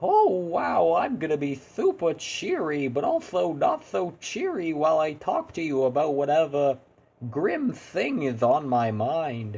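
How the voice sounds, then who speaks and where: A put-on character voice delivers its lines at a fairly slow pace. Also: man, fairly high pitch for a man. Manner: cheery yet grim, cartoonish.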